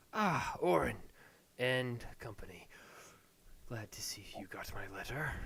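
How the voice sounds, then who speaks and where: A man's raspy put-on character voice at medium pitch, fairly slow, with lively intonation, big swings in loudness, and long, frequent pauses. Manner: welcoming, genial.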